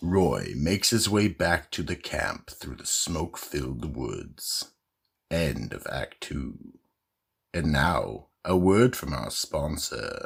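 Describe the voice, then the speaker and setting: At a fairly slow pace, a man puts on a character voice with a very deep, low pitch. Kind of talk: radio drama host narration.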